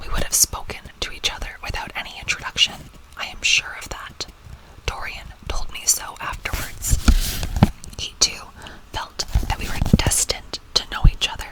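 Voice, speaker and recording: A woman whispers at a moderate pace, her loudness swinging widely over noticeable background noise. Long, frequent pauses break up her speech. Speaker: teacher reading aloud to students. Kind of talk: soft whispered audiobook reading of classic literature. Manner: soft, whispering.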